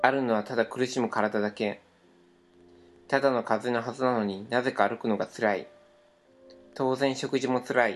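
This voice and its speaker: At a moderate pace, a man speaks in a flat monotone, leaving long, frequent pauses. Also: medium pitch for a man. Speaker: podcast co-host. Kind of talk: reading aloud. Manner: stumbling over words.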